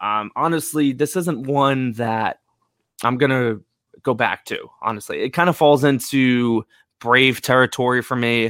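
In a very clean recording with a silent background, a man with an American accent and a normal speaking voice talks at a medium pitch and a fairly slow pace, with ordinary pitch variation and a dry, close sound with no echo. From United States. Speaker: movie podcast host. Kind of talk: casual chat.

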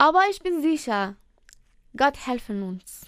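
The pitch swings very widely from high to low. Speech comes at a very slow pace with a Persian accent. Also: woman. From Iran. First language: Persian (speaking German). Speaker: trainee dental assistant. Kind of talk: interview. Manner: halting.

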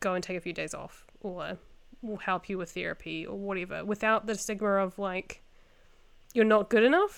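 A woman with a New Zealand accent, medium pitch, fairly even intonation, and moderate pace, on a very clean recording with a silent background. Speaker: podcast host. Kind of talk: casual chat.

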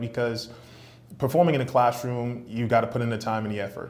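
There is audible room echo as a man speaks with an American accent. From New York City, Brooklyn. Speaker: sales executive and entrepreneur. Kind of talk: interview.

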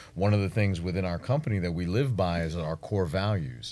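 This man talks with a New York accent. His pitch is very deep and low. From Brooklyn, New York City. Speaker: marketing agency owner and entrepreneur. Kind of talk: interview.

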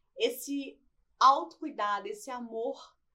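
Very wide pitch swings run through a woman's speech. Her tone is bright and sharp. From Brazil, Barra Mansa (Rio de Janeiro state). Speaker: entrepreneur and beautician. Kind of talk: podcast interview.

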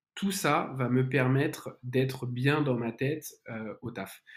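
A man with a medium-pitched voice speaks at a very slow pace with ordinary pitch variation. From France, Lyon. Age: 20s. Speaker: entrepreneur. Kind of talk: casual interview.

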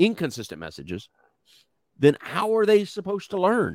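Speaking with a Texan accent, a man sounds animated at a moderate pace, with a dry, close sound and no echo. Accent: Texan, noticeable. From Texas. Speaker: co-host. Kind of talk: casual chat. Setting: live online stream. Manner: animated, joking.

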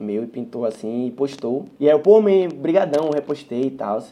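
A man with a Bahian accent talks at a fairly quick pace, his fairly high pitch carried by a dark, mellow tone. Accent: Bahian Brazilian Portuguese. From Salvador, Bahia, Brazil. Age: 20s. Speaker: singer. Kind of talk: casual interview. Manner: casual slang-heavy.

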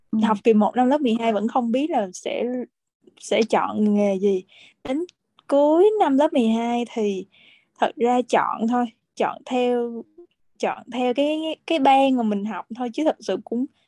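Pausing long and often, a woman speaks fairly slowly in a high voice with a dark, mellow tone and lively intonation, the sound dry and close with no echo. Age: 20s. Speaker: flight attendant. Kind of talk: interview.

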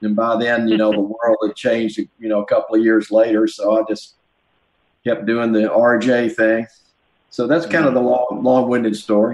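Speaking in a Southern US accent, a man talks at a moderate pace with medium pitch and monotone, flat intonation. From US South. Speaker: musician and record producer. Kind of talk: casual interview chat.

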